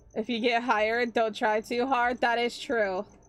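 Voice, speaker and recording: With music in the background, a woman speaks at a fairly slow pace in a fairly high pitch. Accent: American. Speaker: vtuber streamer. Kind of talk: casual chat.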